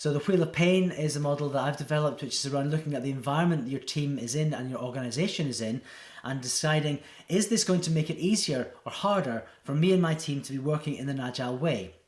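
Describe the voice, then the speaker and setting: Talking at a very fast pace, a man with a fairly high pitch sounds somewhat breathy. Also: ordinary pitch variation. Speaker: agile coach. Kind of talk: presentation talk to camera.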